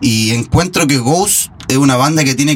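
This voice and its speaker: Over noticeable background noise, a man with a Chilean accent speaks in a fairly high pitch with ordinary pitch variation. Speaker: guitarist in a tribute band. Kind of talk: casual interview.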